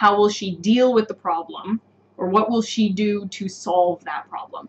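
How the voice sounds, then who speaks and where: A woman with an ordinary speaking voice and a North American accent speaks at a moderate pace and medium pitch, with ordinary pitch variation. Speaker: English teacher. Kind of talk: live online lesson. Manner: clear, explanatory.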